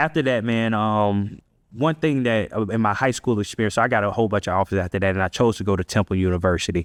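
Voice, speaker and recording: A man with an American accent talks at a very fast pace with very even loudness. The sound is dry and close with no echo, over a quiet background. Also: fairly low pitch for a man, ordinary pitch variation. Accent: Central Florida accent, noticed by outsiders. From Central Florida (Ocala), US South. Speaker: leader and community organizer, former football player. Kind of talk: podcast interview, personal storytelling. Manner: casual, many fillers and repetitions.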